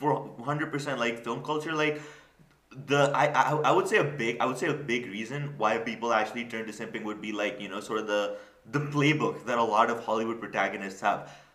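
A man talks fairly quickly. His pitch varies in an ordinary way over noticeable background noise. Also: medium pitch for a man. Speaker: podcast host. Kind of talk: casual comedic podcast chat.

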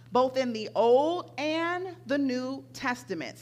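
A woman's high-pitched voice at a very slow pace, with very wide pitch swings and audible room echo. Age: 50s. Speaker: pastor. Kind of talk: sermon. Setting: church. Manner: animated.

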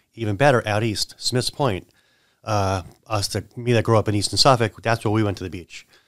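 A man talks in a plain, everyday voice at a fairly low pitch and a fairly quick pace. His intonation is fairly even, and the recording is very clean with a silent background. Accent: American. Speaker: insurance agent and business owner. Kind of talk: casual chat. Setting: studio.

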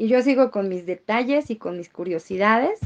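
A woman speaks in a normal speaking voice. It is fairly high-pitched, with lively intonation. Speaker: market vendor. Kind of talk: interview.

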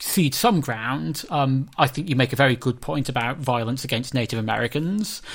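A man's plain, everyday voice at a medium pitch, with lively intonation. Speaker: history professor and podcast host. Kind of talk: academic discussion.

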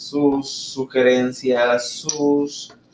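A man talks over noticeable background noise. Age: 20s. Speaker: podcast co-host, dental student. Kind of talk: casual chat.

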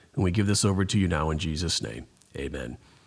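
There is vocal fry in this man's voice. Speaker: pastor. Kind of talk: interview.

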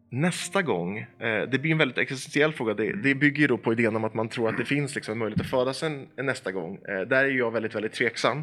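In a bright, sharp tone, a man talks at a very fast pace over a quiet background. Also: medium pitch for a man. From Sweden, Eskilstuna. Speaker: organization manager and opinion writer. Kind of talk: casual chat. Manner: hesitant, many fillers and repeated words.

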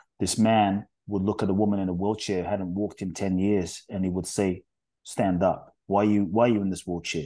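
The tone is dark and mellow, with monotone, flat intonation. The background is quiet. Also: man, fairly low pitch for a man, moderate pace. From London, England (born in Ghana). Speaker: spiritual teacher and author. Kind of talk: interview.

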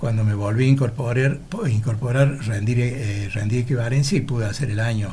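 Amid noticeable background noise and audible room echo, a man speaks at a fairly quick pace with fairly even intonation. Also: medium pitch for a man. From Argentina, Laguna Larga, Córdoba. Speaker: retired teacher. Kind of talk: interview.

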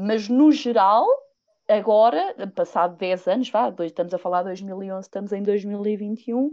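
A woman speaks fairly slowly in a normal speaking voice at a medium pitch, with ordinary pitch variation. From Portugal, Viseu. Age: 30s. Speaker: podcast guest. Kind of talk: casual chat.

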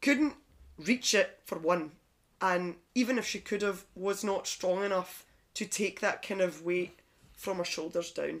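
A woman speaks at a fairly slow pace in a plain, everyday voice with a medium pitch and ordinary pitch variation. The recording is very clean, with a silent background. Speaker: newly qualified personal trainer. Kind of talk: casual chat.

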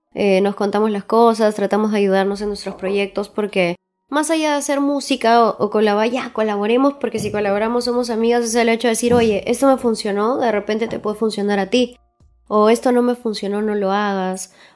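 Over music in the background, a woman speaks with fairly high pitch. Her pace is fairly quick and her intonation fairly even. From Peru, Huaraz. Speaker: reggaeton singer. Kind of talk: interview.

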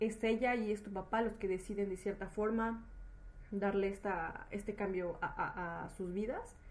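Somewhat breathy and dark, mellow in tone, a woman with a Mexican accent speaks at a fairly slow pace with a fairly high pitch. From Mexico. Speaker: podcast host. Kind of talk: casual interview. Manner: halting, repeats words.

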